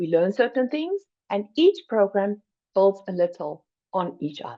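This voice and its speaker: A fairly high-pitched woman's voice with a South African accent, lively intonation and a fairly slow pace. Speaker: finance program educator. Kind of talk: presentation.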